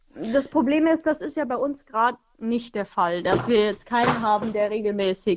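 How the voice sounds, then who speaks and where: A woman talks with a fairly high pitch. Behind her, music can be heard. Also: ordinary pitch variation, moderate pace. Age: 20s. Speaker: radio caller, pregnant mother. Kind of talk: call-in conversation.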